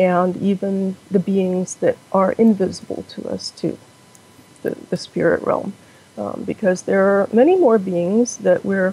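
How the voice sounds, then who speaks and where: Her voice is an unremarkable speaking voice, medium in pitch. The woman goes fairly slowly, with fairly even intonation. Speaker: Buddhist practitioner. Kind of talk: interview answer.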